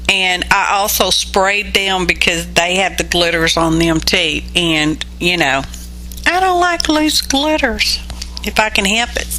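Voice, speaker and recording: A woman with a Southern US accent at a fairly slow pace, her loudness very even, with audible room echo and noticeable background noise. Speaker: mixed media artist, craft video creator. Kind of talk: craft tutorial voiceover. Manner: casual, chatty.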